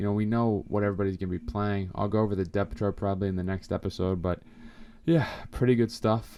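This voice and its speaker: A man with a fairly low pitch and a dark, mellow tone talks at a fairly quick pace with ordinary pitch variation over a quiet background. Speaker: sports podcast host. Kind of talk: casual podcast commentary. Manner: fast; animated.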